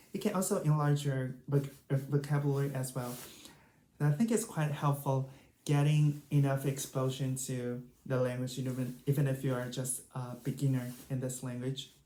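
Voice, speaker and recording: The speaker has a Chinese accent and keeps a moderate pace. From China. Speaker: language learning YouTuber. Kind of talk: tutorial. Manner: casual, hesitant with fillers.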